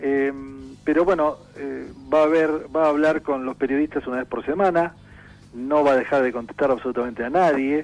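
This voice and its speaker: Against music in the background, a man talks at a moderate pace with fairly even intonation. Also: fairly high pitch for a man. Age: 60s. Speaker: journalist and political analyst. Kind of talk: radio interview.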